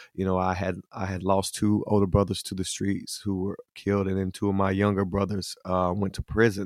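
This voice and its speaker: A man with a Southern US accent talks at a moderate pace in a fairly low voice, recorded dry and close with no echo against a silent, very clean background. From US South, Hickory, North Carolina. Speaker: singer-songwriter. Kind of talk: interview testimony.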